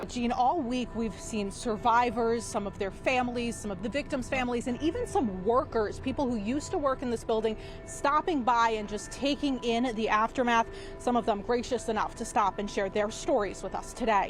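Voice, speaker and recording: A woman with ordinary pitch variation and hardly any pauses, music in the background. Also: fairly high pitch for a woman, moderate pace. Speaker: TV news reporter. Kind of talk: TV news reporter package and live report.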